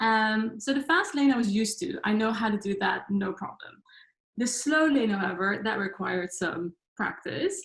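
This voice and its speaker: A woman's fairly high voice with lively intonation and a Dutch accent. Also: moderate pace. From Netherlands. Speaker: life coach. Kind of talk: talk to online audience.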